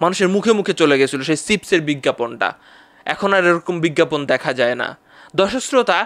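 His voice is high for a man, with lively intonation and very even loudness. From Bangladesh. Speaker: YouTuber. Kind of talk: vlog monologue. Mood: somber, reflective. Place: studio. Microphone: studio mic.

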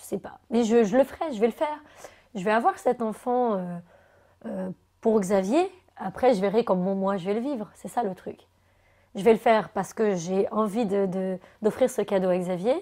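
Against a quiet background, a woman with a dark, mellow tone speaks at a moderate pace with ordinary pitch variation, big swings in loudness and long, frequent pauses. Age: 30s. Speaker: TV columnist; interview guest. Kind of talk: testimony. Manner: halting. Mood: emotional, hesitant, reflective. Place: home room. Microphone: lapel.

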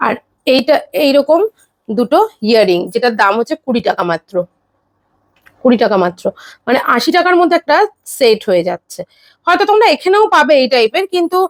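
A high-pitched woman's voice with very wide pitch swings, dry and close with no echo. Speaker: YouTube vlogger. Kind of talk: shopping haul vlog. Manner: animated.

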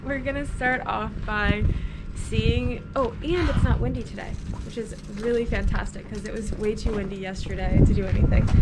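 Against loud background noise, a woman talks at a moderate pace. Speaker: DIY renovation vlogger. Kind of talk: casual vlog chat. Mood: cheerful, relaxed. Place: street. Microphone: camera far.

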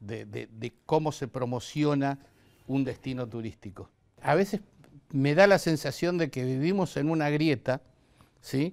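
A man with an Argentine accent at a fairly high pitch and fairly slow pace, with ordinary pitch variation and long, frequent pauses. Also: quiet background. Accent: Argentine Spanish (voseo). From Argentina. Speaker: tourism TV host. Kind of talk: interview. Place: studio. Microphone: lapel.

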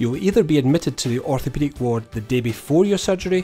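Someone talks at a very fast pace while faint music plays in the background. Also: man.

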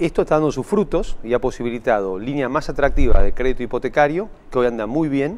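The man talks at a very fast pace. His pitch swings very widely. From Argentina. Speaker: state bank president. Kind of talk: TV interview. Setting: studio. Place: studio. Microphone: lapel.

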